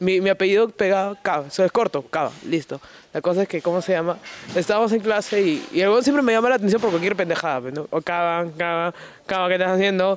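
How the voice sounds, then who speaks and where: With ordinary pitch variation, a man speaks very fast at a high pitch. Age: 20s. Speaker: professional wrestler. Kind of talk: casual interview.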